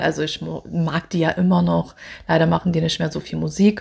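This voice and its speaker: On a very clean recording with a silent background, a woman talks in a somewhat breathy voice. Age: 30s. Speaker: singer. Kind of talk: self-interview, casual.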